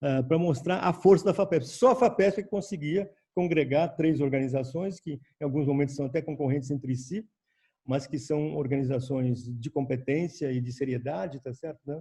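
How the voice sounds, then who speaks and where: This voice has a dark, mellow tone and is somewhat breathy. It moves at a moderate pace with ordinary pitch variation. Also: man, fairly high pitch for a man. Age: old. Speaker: senior scientist. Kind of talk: panel talk. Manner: halting.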